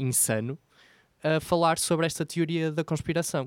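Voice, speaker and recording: A man speaking in a European Portuguese accent talks at a fairly slow pace with ordinary pitch variation. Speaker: podcast co-host. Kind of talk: casual chat.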